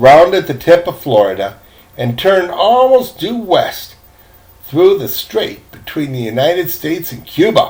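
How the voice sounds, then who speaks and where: A man speaks at a fairly slow pace with a high pitch. His pitch swings very widely and his loudness varies a lot. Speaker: grandfather reading to grandchildren. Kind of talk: children's book read-aloud.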